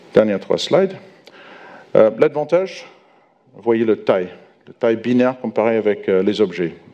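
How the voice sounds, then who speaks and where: A man at medium pitch talks at a moderate pace with lively intonation. His loudness swings widely, and he takes long, frequent pauses. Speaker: software architect, conference speaker. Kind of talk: conference talk. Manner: halting, many hesitations.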